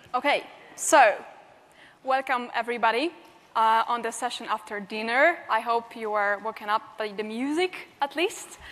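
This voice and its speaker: In a Polish accent, a woman speaks at a moderate pace with a fairly high pitch and ordinary pitch variation. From Poland. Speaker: penetration tester and security trainer. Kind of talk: conference talk.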